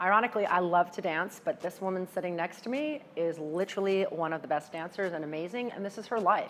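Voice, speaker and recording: With hardly any pauses, a woman speaks at a very fast pace in a medium pitch with ordinary pitch variation. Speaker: charity auctioneer. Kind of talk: interview testimony.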